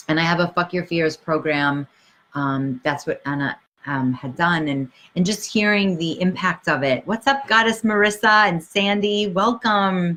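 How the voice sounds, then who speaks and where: Speaking with a Brooklyn accent at a moderate pace, a woman has a fairly low pitch, a bright, sharp tone and lively intonation against a quiet background. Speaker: life coach. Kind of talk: livestream talk. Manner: animated.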